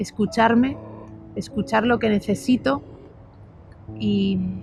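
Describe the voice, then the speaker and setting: A woman speaks at a very slow pace while music plays in the background. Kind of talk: casual talk to camera.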